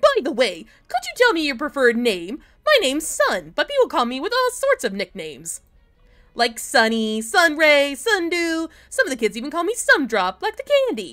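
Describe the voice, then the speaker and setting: A put-on character voice in an energetic, bubbly tone at a moderate pace, with music in the background. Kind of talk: fan-game voice acting. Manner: energetic, bubbly, friendly.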